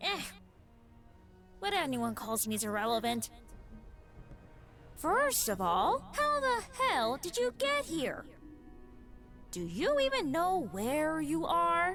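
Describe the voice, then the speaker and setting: A female-sounding put-on character voice speaks at a high pitch and a fairly slow pace. Long, frequent pauses break it up, and background noise is clear. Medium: audio drama. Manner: sarcastic, dismissive.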